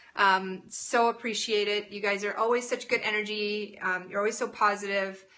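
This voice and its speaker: A woman's medium-pitched voice with a Canadian accent, moderate in pace with hardly any pauses. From Alberta, Canada. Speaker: live-stream cooking host. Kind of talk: casual live-stream chat. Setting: home kitchen, live stream. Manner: animated.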